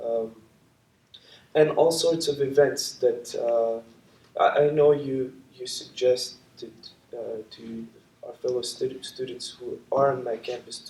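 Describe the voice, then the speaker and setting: A man with a French accent speaks at a fairly slow pace, with long, frequent pauses. His loudness swings widely. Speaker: election candidate. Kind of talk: election debate. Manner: halting, many fillers.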